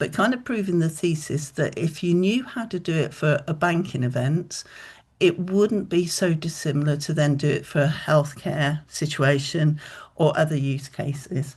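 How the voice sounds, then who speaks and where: Putting on a character voice, a woman speaks at a moderate pace in a very deep, low, croaky tone. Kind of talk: professional, business-like.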